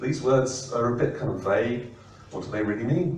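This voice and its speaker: Over noticeable background noise and audible room echo, a man of medium pitch talks at a moderate pace. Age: 60s. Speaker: professor. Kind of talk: presentation. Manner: hesitant, many fillers.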